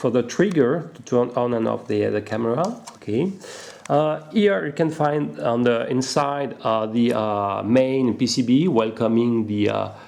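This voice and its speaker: Audible room echo and noticeable background noise accompany a man of medium pitch who speaks at a fairly slow pace with lively intonation. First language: not English. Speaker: RC hobby product reviewer. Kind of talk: unboxing tutorial. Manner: halting, many fillers.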